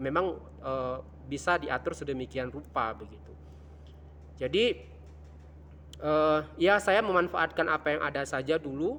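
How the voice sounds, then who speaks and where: The man talks at a moderate pace. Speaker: vlogger. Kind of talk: casual vlog monologue. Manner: halting, many fillers; loud, projected.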